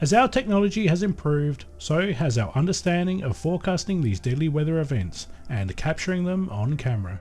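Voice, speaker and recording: Talking at a fairly quick pace with hardly any pauses, a man uses a fairly high voice that swings very widely in pitch. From Australia. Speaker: YouTube creator. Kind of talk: scripted narration. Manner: formal.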